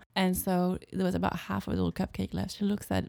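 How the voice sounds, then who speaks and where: A woman with a French accent is heard in a very clean recording with a silent background. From France, Alsace (Colmar area). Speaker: freelance translator. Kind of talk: casual interview chat. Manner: hesitant with fillers.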